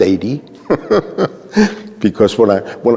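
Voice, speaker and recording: A man at medium pitch speaks over noticeable background noise. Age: 80s+. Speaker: honoree, community elder. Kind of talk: interview.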